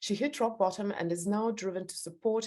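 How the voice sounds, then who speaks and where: Against a quiet background, a woman with a strong non-native accent speaks at a fairly quick pace with ordinary pitch variation. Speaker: podcast host, interviewer. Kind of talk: reading aloud; interview. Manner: halting, many fillers.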